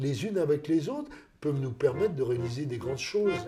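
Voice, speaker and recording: With a dark, mellow tone, a man speaks at a fairly high pitch, somewhat breathy and with very wide pitch swings. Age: 60s. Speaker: citizen project member. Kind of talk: documentary interview.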